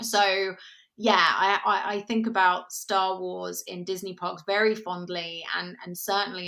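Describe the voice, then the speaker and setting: In a British accent, the voice has a bright, sharp tone and fairly even intonation. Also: woman. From England. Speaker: podcast co-host. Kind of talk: casual chat.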